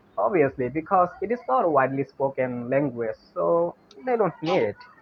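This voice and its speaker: Over noticeable background noise, a man with a fairly high pitch talks at a moderate pace, his loudness very even while his pitch swings very widely. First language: Bengali. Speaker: English learner. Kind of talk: casual chat.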